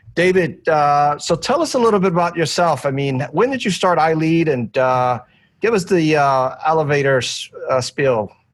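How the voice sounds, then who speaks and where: In a plain, everyday voice with lively intonation and very even loudness, the speaker moves at a moderate pace on a very clean recording with a silent background. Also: man, fairly high pitch for a man. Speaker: podcast host. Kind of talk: casual interview.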